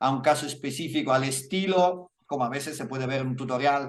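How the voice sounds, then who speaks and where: The man's pitch varies in an ordinary way as he talks at a moderate pace. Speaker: lighting visualization instructor and author. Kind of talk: Q&A after lecture. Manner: halting, with fillers and self-corrections.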